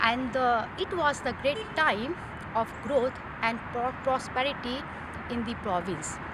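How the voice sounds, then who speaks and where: A woman with a non-native accent, high-pitched and very slow, with ordinary pitch variation and noticeable background noise. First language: not English. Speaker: ESL student. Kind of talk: class presentation. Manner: halting.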